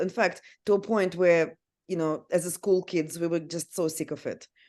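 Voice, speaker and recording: A woman's dark, mellow voice with a Russian accent, fairly low in pitch and at a fairly slow pace. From Siberia, Russia. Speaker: sex and relationship counsellor, amateur ice hockey player. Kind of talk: podcast interview.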